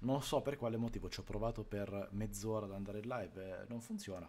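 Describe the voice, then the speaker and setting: Ordinary pitch variation marks this man's voice, which has a dark, mellow tone. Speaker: game streamer. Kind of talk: casual stream intro chat. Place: home room.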